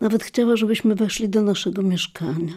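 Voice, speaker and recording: A woman's dark, mellow tone at a moderate pace, with fairly even intonation. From Lviv, formerly eastern Poland (now Ukraine). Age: old. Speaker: memoirist. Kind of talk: scripted narration.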